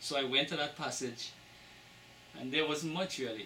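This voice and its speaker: Moderate pace and fairly even intonation from a man at a medium pitch, with audible room echo and noticeable background noise. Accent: Trinidadian. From Trinidad. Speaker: book author. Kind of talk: interview.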